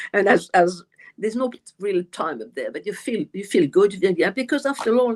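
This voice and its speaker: Speaking fairly quickly with a non-native accent, a woman uses a fairly high pitch. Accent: noticeable foreign accent, self-described. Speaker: medium and author. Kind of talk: live stream interview. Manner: halting, many fillers and repeats.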